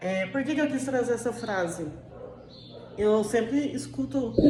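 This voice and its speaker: In an inland southeastern Brazilian accent, a woman talks at a fairly slow pace, with audible room echo and noticeable background noise. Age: 30s. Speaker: diet vlogger. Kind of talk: casual vlog monologue. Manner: hesitant, many fillers.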